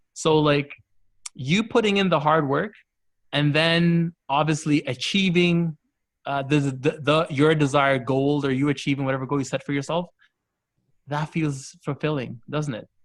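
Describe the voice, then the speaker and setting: An unremarkable speaking voice from a man at a moderate pace, with fairly even intonation. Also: fairly high pitch for a man. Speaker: cricketer. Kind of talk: casual chat.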